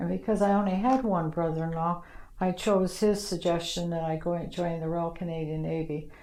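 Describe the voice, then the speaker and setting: Room echo is audible as a woman speaks with fairly even intonation. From Ontario, Canada (Toronto area). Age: 70s. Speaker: retired navy nursing sister. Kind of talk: oral history interview. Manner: halting, many fillers.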